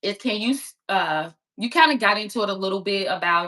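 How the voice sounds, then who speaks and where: The voice has an American accent and a bright, sharp tone. It moves at a moderate pace with lively intonation. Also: woman. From Chicago east side. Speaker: podcast host. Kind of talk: interview. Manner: casual.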